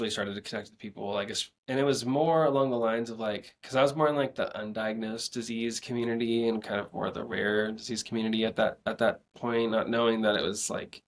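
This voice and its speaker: A man speaks in an unremarkable speaking voice at medium pitch. His intonation is fairly even and his pace fairly quick. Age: 20s. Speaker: ALS awareness advocate on social media. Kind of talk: casual interview chat.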